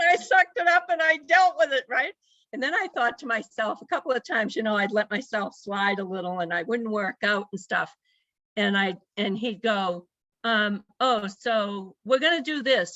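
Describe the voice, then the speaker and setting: A woman's voice swings very widely in pitch as she talks at a moderate pace. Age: 70s. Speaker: powerlifter, grandmother. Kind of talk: interview, casual chat. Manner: animated.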